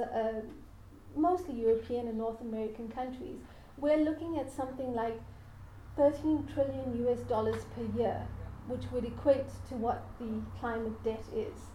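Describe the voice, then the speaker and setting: A high-pitched woman talks at a fairly slow pace with fairly even intonation. Room echo is audible. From South Africa. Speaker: academic lecturer. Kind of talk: lecture.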